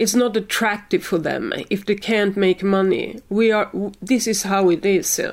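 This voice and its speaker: A woman with a Swedish accent, medium pitch, fairly even intonation, a moderate pace and hardly any pauses. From Sweden. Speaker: science communication expert. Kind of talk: interview. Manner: halting.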